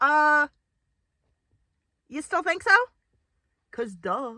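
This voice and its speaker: A raised, projected voice with a bright, sharp tone swings very widely in pitch at a fairly slow pace. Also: woman, dry, close sound with no echo. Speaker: bird trainer and video creator. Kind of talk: casual chat. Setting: outdoors.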